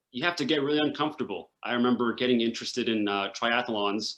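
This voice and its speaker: At a fairly quick pace, a man uses an ordinary speaking voice with medium pitch and ordinary pitch variation. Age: 20s. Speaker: runner living with cystic fibrosis. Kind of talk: interview.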